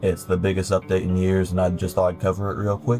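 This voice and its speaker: Behind a man's fairly low-pitched voice, music can be heard playing. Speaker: gaming video creator. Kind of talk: game tutorial narration. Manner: casual, a bit hesitant.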